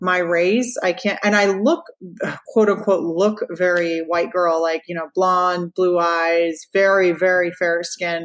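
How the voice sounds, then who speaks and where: A woman in an American accent speaks at a very slow pace, her pitch fairly low and her intonation fairly even. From Florida, US. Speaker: radio personality. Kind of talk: interview. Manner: casual, many fillers.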